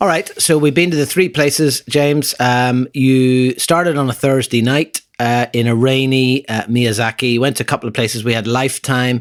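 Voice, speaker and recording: The speaker has an Irish accent, ordinary pitch variation and a moderate pace with hardly any pauses. The sound is dry and close with no echo, with noticeable background noise. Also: man, medium pitch for a man. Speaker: podcast host. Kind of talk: casual chat.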